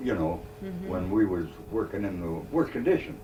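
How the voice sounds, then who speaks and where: Noticeable background noise sits behind a man speaking at a moderate pace. His intonation is lively. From Northumberland, England. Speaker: retired coal miner. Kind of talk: oral history interview answer. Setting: audio cassette recording.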